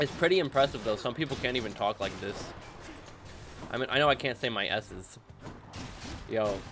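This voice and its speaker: With an animated tone, a man talks at a fairly quick pace and medium pitch, using ordinary pitch variation and long, frequent pauses over noticeable background noise. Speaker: gaming youtuber. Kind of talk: gameplay commentary. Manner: casual, animated.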